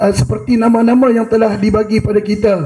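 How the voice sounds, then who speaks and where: The man speaks with a high pitch over a quiet background. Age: 50s. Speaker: audience member, history enthusiast; audience member. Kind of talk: audience comment. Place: hall. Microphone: handheld.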